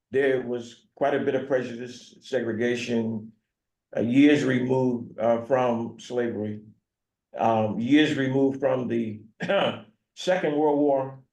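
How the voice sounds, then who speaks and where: A man's medium-pitched voice with an American accent, fairly even intonation, a fairly slow pace and audible room echo. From US South, North Carolina (Franklin County). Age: 70s. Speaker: pastor. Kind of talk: talk to community group. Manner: halting.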